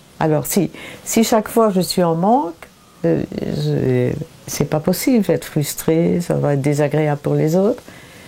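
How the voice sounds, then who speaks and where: There is noticeable background noise as a woman talks at a fairly slow pace with very even loudness. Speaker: painter. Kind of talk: interview. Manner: halting, many repetitions and hesitations.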